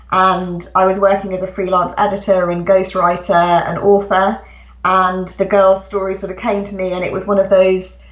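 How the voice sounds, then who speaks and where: With a British accent, a woman speaks at a moderate pace and medium pitch in a monotone, flat delivery. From England. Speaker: author. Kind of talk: interview. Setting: home, remote call.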